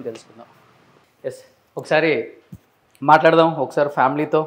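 Fairly high in pitch, a man talks in an unremarkable speaking voice. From Andhra Pradesh, Guntur; Andhra Pradesh. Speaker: video interviewer. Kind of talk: casual interview. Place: garage. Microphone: lapel.

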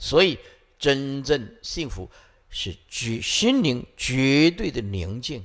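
A man's fairly high pitch with very wide pitch swings and big swings in loudness, at a very slow pace against a quiet background. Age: 50s. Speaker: Buddhist monk teacher. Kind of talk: dharma lecture. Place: hall. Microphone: podium.

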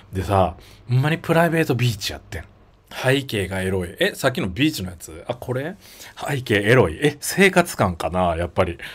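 A man speaks at a fairly quick pace in an animated, somewhat breathy voice. His pitch swings very widely and his loudness rises and falls sharply. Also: medium pitch for a man. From Japan, Miyazaki; Japan. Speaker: YouTuber. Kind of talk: livestream casual chat. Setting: livestream. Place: home room. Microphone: phone near.

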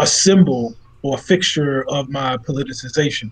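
Speaking at a very slow pace, a man has a fairly high-pitched voice. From Baltimore (Cherry Hill); Baltimore. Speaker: food sovereignty organizer; interview guest. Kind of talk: interview. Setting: video call. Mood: earnest, reflective. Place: home room.

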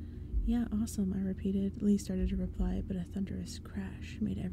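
A stretch of plain reading aloud

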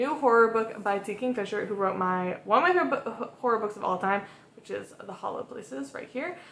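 A woman speaks with an American accent at a fairly high pitch. Audible echo fills the room. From Massachusetts, US. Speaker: book vlogger. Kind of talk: casual vlog talk. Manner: casual, filler-heavy. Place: home room.

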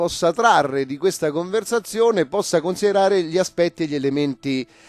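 A man speaks high for a male voice, with lively intonation. The sound is dry, with no echo. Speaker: interviewee. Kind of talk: interview answer.

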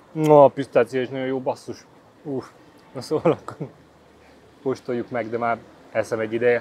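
A man at a fairly quick pace with long, frequent pauses, dry sound with no echo and light background noise. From Hungary. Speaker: YouTuber, food reviewer. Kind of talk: casual vlog, food tasting. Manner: animated. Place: street. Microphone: phone near.

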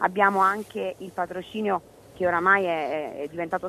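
Her voice is an unremarkable speaking voice, fairly low for a woman, with ordinary pitch variation and a moderate pace. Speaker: sports event organizer. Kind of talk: interview. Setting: outdoors.

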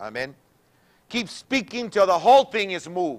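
A man with an animated tone at a fairly slow pace, against a quiet background. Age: 60s. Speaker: pastor. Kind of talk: sermon. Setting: church. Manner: repetitive code-switching. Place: church.

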